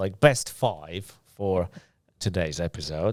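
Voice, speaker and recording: A man with a non-native accent is heard on a very clean recording with a silent background. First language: not English. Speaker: podcast host. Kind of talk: casual interview. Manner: halting.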